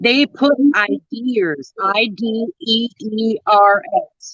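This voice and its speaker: Her tone is bright and sharp. The woman's pitch sits fairly high. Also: dry, close sound with no echo. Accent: American. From northern Minnesota. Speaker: truck driver and show co-host. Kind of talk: casual chat. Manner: animated.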